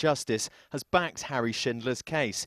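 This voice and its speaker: A man with a plain, everyday voice talks at a fairly quick pace, medium in pitch with ordinary pitch variation. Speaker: news reporter. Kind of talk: TV news report voice-over.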